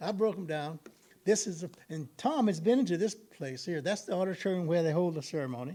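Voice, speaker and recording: Speaking at a fairly quick pace, a man with an American accent has a high pitch, a dark, mellow tone, and lively intonation. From US South, Texas (Columbus, South Central Texas). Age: 80s+. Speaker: retired educator presenting at an arts gathering. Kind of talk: presentation with audience Q&A.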